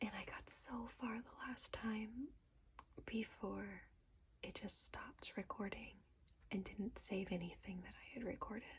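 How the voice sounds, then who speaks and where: Soft-spoken, the speaker goes at a fairly slow pace. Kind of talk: ASMR book review talk to camera.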